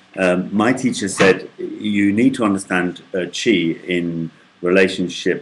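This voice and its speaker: At a very slow pace, a man speaks with a very deep, low pitch. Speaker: tai chi student. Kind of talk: casual talk to camera. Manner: hesitant, many filler sounds.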